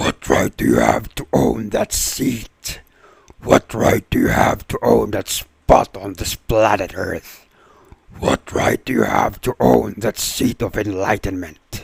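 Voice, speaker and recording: A man does a put-on character voice. It is fairly low in pitch and fairly slow in pace. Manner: taunting.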